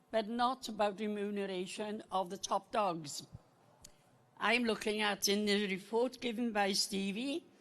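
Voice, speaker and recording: Ordinary pitch variation from a woman speaking at a fairly slow pace. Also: medium pitch for a woman. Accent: Welsh. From Wales, Rhondda Valley. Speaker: co-op member asking a question at a meeting. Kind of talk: public question at an annual meeting.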